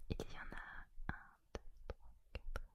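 Soft-spoken, a woman talks in a dry sound with no echo while loud background noise fills the clip. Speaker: ASMR creator. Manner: soft close-mic ASMR murmur. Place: home room. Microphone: studio mic.

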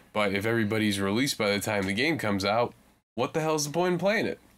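An ordinary speaking voice from a man, fairly low in pitch with ordinary pitch variation. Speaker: podcast co-host. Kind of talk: casual chat. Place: home room. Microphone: studio mic.

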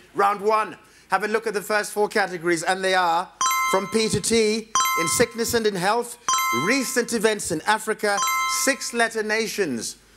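A man talks at a moderate pace with clear music in the background. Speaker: quiz show host. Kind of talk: quiz hosting, reading questions. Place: studio. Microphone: lapel.

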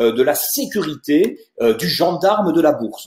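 A man speaks with a high pitch and very wide pitch swings. His tone is dark and mellow, with audible room echo. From Toulouse, southern France; southern France. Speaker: wealth management adviser; presenter. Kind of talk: webinar presentation. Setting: video conference webinar. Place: office. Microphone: earbuds.

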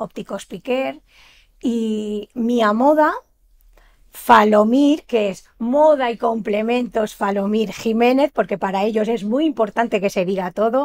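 Against a quiet background, a woman speaks very slowly with a fairly high pitch and ordinary pitch variation. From Valencian Community (Almassora, Castellón); Valencian Community. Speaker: shop owner and event organizer; guest. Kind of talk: TV interview. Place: studio.

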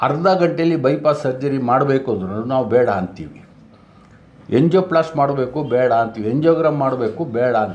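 A man with a normal speaking voice talks at a medium pitch with lively intonation. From Bengaluru, Karnataka, India. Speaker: ayurvedic practitioner. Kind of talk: interview.

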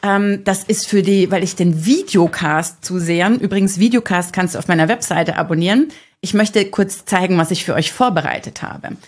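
A woman talks at moderate speed, her pitch varying in an ordinary way, with a quiet background behind her. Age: 40s. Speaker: digital detox speaker and podcaster; digital detox coach, video podcaster. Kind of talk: podcast monologue. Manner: animated. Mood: warm, cheerful, smiling. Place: studio. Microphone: studio mic.

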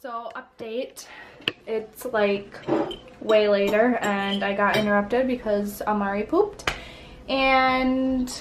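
Very slowly and with fairly even intonation, a woman speaks through noticeable background noise. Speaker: family vlogger. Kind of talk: casual vlog chat. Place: home room. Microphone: phone near.

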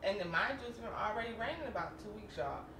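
There is a woman talking. Behind her, background noise is noticeable. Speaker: lifestyle vlogger. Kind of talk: casual vlog chat. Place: kitchen. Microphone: camera far.

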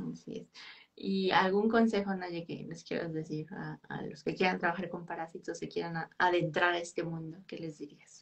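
A woman with a fairly low voice speaks at a moderate pace with fairly even intonation. Her loudness swings widely against a quiet background. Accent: Mexican. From Mexico. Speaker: podcast host, biologist; podcast host. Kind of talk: interview. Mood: friendly, warm. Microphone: video call.

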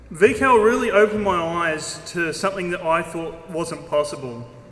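A high-pitched man at a fairly slow pace with ordinary pitch variation and audible room echo. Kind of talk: formal speech. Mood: proud, lightly humorous. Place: hall. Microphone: podium.

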